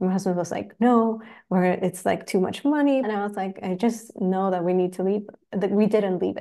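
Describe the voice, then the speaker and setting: In a Spanish accent, a woman speaks with a dark, mellow tone and fairly even intonation. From Chile. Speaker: spiritual teacher and energy healer. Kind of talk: casual interview chat.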